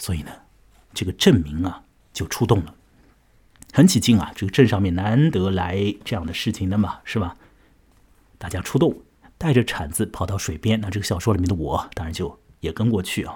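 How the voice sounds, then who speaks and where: Somewhat breathy and relaxed in tone, a man with a fairly low pitch talks with ordinary pitch variation and long, frequent pauses. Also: moderate pace. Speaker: podcast host, literature storyteller. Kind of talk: storytelling and literary commentary. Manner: relaxed, many filler particles.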